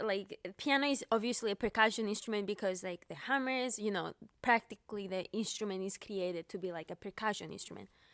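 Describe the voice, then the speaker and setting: Speaking with a Cypriot accent at a medium pitch, a woman goes at a fairly quick pace with hardly any pauses and ordinary pitch variation, the sound dry and close with no echo. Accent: Greek Cypriot. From Cyprus. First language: Greek. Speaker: pianist. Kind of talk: interview. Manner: halting.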